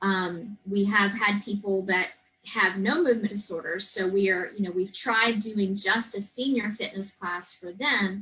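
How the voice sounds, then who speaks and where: A woman with an American accent has a plain, everyday voice of medium pitch. She talks fairly slowly and fairly evenly, with hardly any pauses. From Texas Hill Country. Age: 40s. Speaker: personal trainer and gym owner. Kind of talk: interview.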